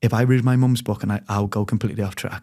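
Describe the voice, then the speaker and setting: Speaking at a very fast pace, a man uses a medium pitch and a dark, mellow tone. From Liverpool, England (childhood in Spain). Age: 20s. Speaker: reality TV personality, yacht crew. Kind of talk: interview, personal life story. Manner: animated, chatty.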